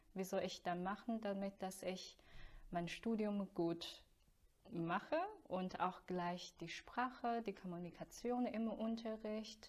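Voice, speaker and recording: A woman speaks very slowly at a medium pitch. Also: ordinary pitch variation. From China. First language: Chinese (speaking German). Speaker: voice student. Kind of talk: interview.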